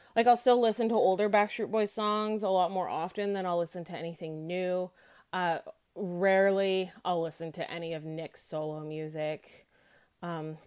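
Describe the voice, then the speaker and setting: A woman with an unremarkable speaking voice talks at a fairly low pitch and moderate pace, with fairly even intonation. Her loudness rises and falls in big swings, in a very clean recording with a silent background. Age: 30s. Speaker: listener sharing experience as a fan. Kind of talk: recorded voice note testimony.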